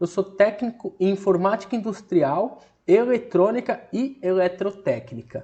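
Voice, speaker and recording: A man talks at a fairly slow pace. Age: 30s. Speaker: online course instructor, electronic security business owner. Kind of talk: online course lesson. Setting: screen-share recording. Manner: casual, conversational with fillers.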